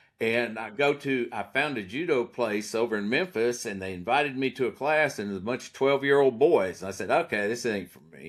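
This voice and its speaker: A man with a normal speaking voice talks at a fairly quick pace and medium pitch, with ordinary pitch variation, big swings in loudness and hardly any pauses, on a very clean recording with a silent background. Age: 60s. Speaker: prosecutor. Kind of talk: casual chat.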